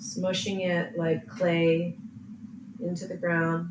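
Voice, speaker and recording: Through noticeable background noise, a woman speaks in a gentle, calm tone, her pitch fairly low with ordinary variation. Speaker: yoga teacher. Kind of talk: guided yin yoga class. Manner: slow, gentle, calm.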